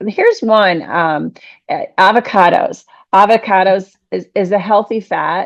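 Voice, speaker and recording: A woman speaks at a fairly slow pace in an unremarkable speaking voice, her pitch medium and its variation ordinary. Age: 60s. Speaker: podcast host. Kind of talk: casual interview chat.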